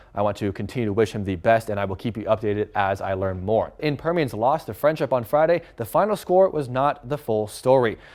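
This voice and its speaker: With lively intonation, a man talks at a fairly quick pace in an ordinary speaking voice. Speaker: sports anchor and reporter. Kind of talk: TV sports news report.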